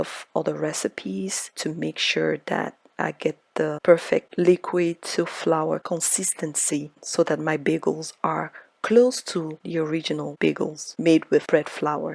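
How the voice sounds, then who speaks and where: Soft-spoken and at a fairly slow pace, a woman talks with hardly any pauses in a dry, close sound with no echo. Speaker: home baker. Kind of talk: cooking tutorial.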